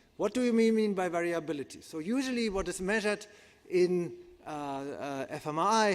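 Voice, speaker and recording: A man with a German accent talks at a moderate pace, his high pitch and lively intonation standing out. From Germany. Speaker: psychiatrist and neuroscientist. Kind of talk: conference lecture. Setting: conference hall with audience.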